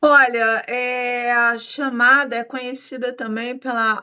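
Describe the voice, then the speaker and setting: In a Brazilian accent, a woman with a fairly high pitch speaks at a very slow pace. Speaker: podcast host. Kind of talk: interview.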